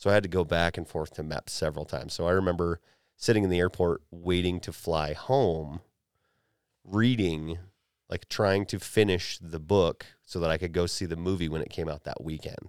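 In a very clean recording with a silent background, a man speaks with a very deep, low pitch, fairly even intonation and a moderate pace. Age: 30s. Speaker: podcast host, law enforcement officer and military veteran. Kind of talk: casual chat.

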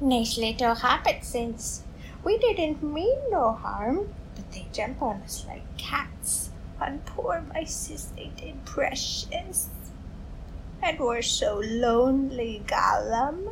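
A put-on character voice at a very slow pace, over clear background noise. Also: female-sounding voice. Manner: hissing, raspy.

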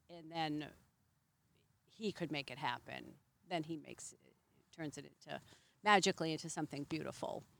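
A woman speaks with a very deep, low pitch, vocal fry and fairly even intonation. Her loudness swings widely, and her pauses are long and frequent. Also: moderate pace. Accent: American. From Massachusetts. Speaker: Airbnb host, former flight attendant. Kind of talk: casual interview. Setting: outdoors by a fire.

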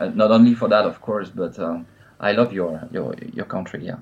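A man talks at a medium pitch with a French accent. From France. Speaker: metal guitarist. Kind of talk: interview. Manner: halting, many filler sounds.

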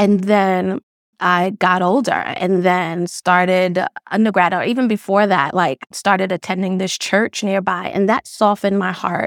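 In a New York accent, the speaker talks at a fairly slow pace with fairly even intonation, the sound dry and close with no echo. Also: woman, medium pitch for a woman. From Brooklyn, New York. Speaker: social worker. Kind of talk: interview.

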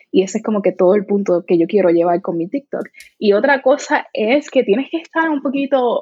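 A woman at a moderate pace with very wide pitch swings. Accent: strong Puerto Rican. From Puerto Rico. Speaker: content creator. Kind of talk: interview.

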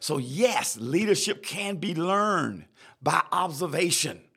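In a Southern US accent, a man with a high pitch and a bright, sharp tone speaks at a fairly slow pace with lively intonation and an animated tone. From South Carolina. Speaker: leadership podcast host and chaplain. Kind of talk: solo podcast lecture. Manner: repetitive, stammering restarts; animated, preacher-like.

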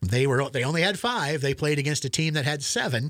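The very clean recording with a silent background captures a man with a Midwestern US accent and ordinary pitch variation. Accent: Midwestern US, general American. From central Nebraska. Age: 60s. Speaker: retired sports broadcaster. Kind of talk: casual interview chat.

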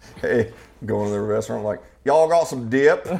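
A man speaks at a fairly quick pace with an American accent, his medium pitch carried by lively intonation. Music plays behind him. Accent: regional Idaho accent noticed by others. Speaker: podcast host. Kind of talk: casual chat.

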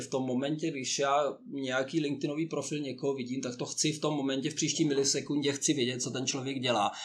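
Fairly high male voice against noticeable background noise. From Czechia. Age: 50s. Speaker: honorary consul and career coach. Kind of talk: interview.

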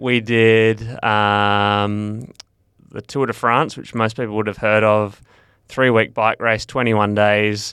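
Over a silent background in a very clean recording, a man with an Australian accent talks very slowly in a fairly low, bright and sharp voice with flat, monotone intonation. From Western Australia (Perth). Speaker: ultra-endurance cyclist. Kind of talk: interview.

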